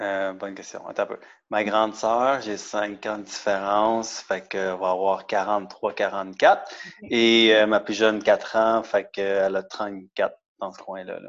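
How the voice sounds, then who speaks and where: Against a quiet background, a man speaks at a fairly low pitch and a fairly slow pace, his loudness swinging widely while his intonation stays monotone and flat. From Quebec, Montreal and Laval. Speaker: CrossFit athlete, office worker. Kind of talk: casual interview.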